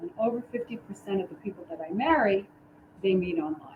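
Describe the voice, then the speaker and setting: A woman with an American accent, a fairly quick pace and very wide pitch swings, over noticeable background noise. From New York City (the Bronx). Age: 60s. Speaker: dating coach and wedding officiant. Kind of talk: casual chat.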